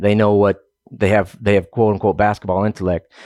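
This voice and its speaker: A man with an American accent and a fairly low pitch, his sound dry and close with no echo, on a very clean recording over a silent background. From Oklahoma. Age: 30s. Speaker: wildland firefighter. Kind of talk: interview, casual. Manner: halting, many fillers and repeats.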